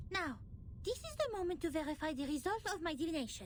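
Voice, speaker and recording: A woman puts on a theatrical character voice at an extremely high pitch. She rattles along at a very fast pace over clear background noise. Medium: video game. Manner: theatrical, self-important.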